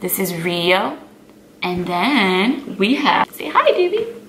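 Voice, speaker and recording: Over noticeable background noise and audible room echo, a woman with an American accent speaks at a medium pitch. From South Florida, US. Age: 20s. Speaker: fitness model and vlogger. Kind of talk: casual Q&A vlog.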